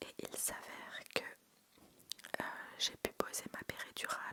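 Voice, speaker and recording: Noticeable background noise runs under a woman's whisper, which moves at a fairly slow pace. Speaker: ASMR creator. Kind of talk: ASMR storytelling, personal birth anecdotes told close to the mic. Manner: soft-spoken, intimate, conversational.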